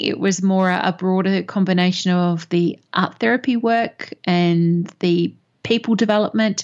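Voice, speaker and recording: An Australian accent with fairly even intonation against a quiet background. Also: woman. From Perth, Australia. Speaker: business mentor and coach. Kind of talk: interview.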